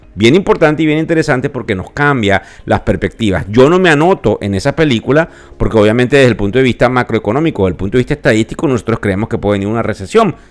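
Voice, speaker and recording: Speaking at a very fast pace, this man keeps his intonation lively. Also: medium pitch for a man. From Venezuela. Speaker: financial podcast host. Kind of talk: podcast market commentary. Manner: conversational with filler hesitations.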